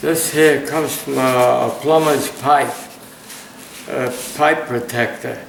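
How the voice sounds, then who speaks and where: Through noticeable background noise, a man with a fairly high pitch talks at a very slow pace with fairly even intonation and long, frequent pauses. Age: 80s+. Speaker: metal detecting hobbyist. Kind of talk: casual show-and-tell to camera. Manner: hesitant, with fillers.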